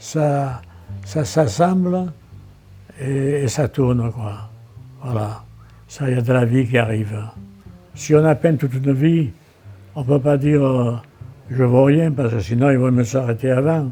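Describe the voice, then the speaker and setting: A man speaks fairly slowly at a medium pitch, taking long, frequent pauses. His pitch varies in an ordinary way as music plays in the background. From Marseille, France. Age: 80s+. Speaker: painter and visual artist. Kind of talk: interview answer.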